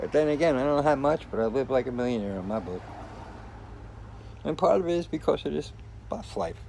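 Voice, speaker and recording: A man talks at a fairly quick pace with a medium pitch, lively intonation and a relaxed, dark, mellow tone. Long pauses come often. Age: 60s. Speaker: vlogger living in a converted bus. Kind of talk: casual video vlog. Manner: relaxed, rambling.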